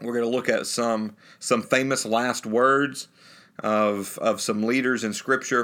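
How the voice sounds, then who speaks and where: Speaking with a Southern US accent, a man talks at a fairly slow pace and a medium pitch in a bright, sharp tone. His intonation is monotone and flat, and the recording is very clean with a silent background. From US South, North Alabama. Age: 30s. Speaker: pulpit minister. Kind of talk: interview.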